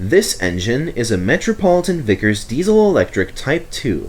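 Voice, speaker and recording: Against clear background noise, a man puts on a character voice at a fairly high pitch with very wide pitch swings. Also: moderate pace. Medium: read story.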